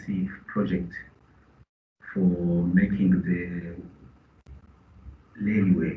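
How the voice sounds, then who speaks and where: The speaker has a Burundian accent and sounds somewhat breathy, with ordinary pitch variation. The pace is very slow, and room echo is audible. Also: man. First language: Kirundi. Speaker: business representative. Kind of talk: meeting contribution. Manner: halting.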